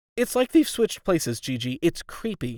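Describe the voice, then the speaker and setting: A man puts on a character voice, pitched high and swinging very widely. He keeps to a moderate pace. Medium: read story.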